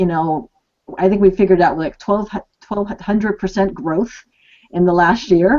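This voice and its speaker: A woman at a moderate pace, her pitch varying in an ordinary way, with long, frequent pauses. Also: medium pitch for a woman. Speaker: co-host interviewer. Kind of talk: interview question.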